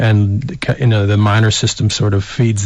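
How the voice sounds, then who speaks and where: A man speaks with an American accent, his pitch fairly low and his intonation fairly even. Noticeable background noise runs under his voice. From Colorado, US. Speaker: baseball coach. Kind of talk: radio interview. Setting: radio studio.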